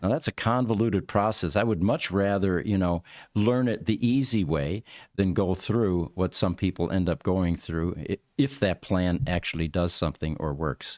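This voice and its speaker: A man's very deep, low voice in an American accent, at a moderate pace with lively intonation and very even loudness, on a very clean, dry, close recording with no echo and a silent background. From US Northeast (Rochester, New York). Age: 70s. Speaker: podcast host. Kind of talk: casual chat.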